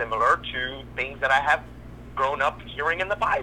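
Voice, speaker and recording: A man talks over noticeable background noise. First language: Spanish. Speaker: caller. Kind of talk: personal testimony.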